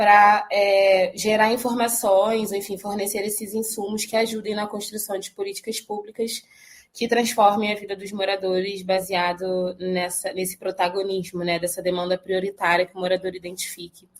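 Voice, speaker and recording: A woman's medium pitch, monotone and flat, with big swings in loudness and hardly any pauses. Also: moderate pace. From Rio de Janeiro, Brazil. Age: 20s. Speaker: social organization director. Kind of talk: podcast interview.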